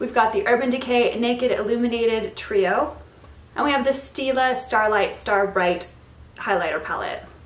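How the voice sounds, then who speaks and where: With noticeable background noise and audible room echo, a woman speaks at a fairly high pitch with ordinary pitch variation. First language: Spanish. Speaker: beauty vlogger. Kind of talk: product review. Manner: casual, chatty.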